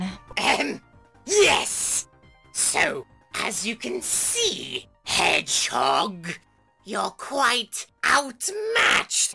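Over faint music in the background, a man in a put-on character voice speaks at an extremely high pitch and a very slow pace. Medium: audio drama. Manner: nervous, stammering.

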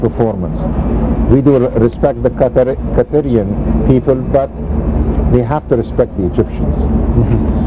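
A man speaks at a moderate pace while noticeable background noise runs behind him. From Egypt. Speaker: planning and development expert. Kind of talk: TV interview. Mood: firm, earnest political views. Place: waterside. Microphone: lapel.

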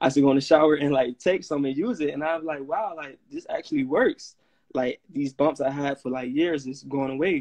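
With an American accent, a man talks fairly quickly at a fairly high pitch with fairly even intonation over a quiet background, in an unremarkable speaking voice. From Florida, St. Petersburg. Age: 20s. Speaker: natural skincare business owner. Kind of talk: casual interview. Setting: Instagram live video call. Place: home room. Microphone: phone near.

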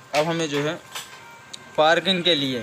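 There is music in the background. The speaker keeps a moderate pace and fairly even intonation. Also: man. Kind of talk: tutorial. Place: workshop. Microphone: phone near.

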